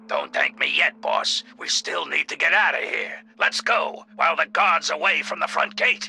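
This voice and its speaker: A man's raspy put-on character voice with hardly any pauses. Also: moderate pace. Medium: video game. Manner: dry, unflappable, hard-boiled.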